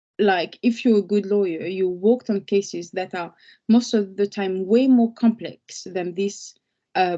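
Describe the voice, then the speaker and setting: Against a quiet background, a woman with a French accent talks at a fairly slow pace, her medium-pitched voice dark and mellow in tone. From France. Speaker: lawyer. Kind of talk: webinar talk. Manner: halting, with fillers and repeats.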